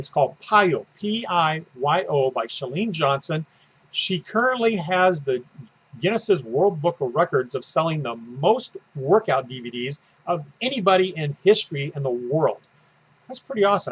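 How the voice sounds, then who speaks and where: A man speaks at a fairly high pitch in an enthusiastic tone. His pitch swings very widely and his loudness shifts in big swings. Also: moderate pace. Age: 60s. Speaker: fitness coach. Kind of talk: casual promotional video talk. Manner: halting, many fillers.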